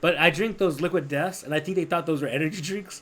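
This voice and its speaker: A man talks loudly. His pitch is high. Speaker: podcast co-host and class instructor. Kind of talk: casual chat. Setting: live podcast recording. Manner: fast.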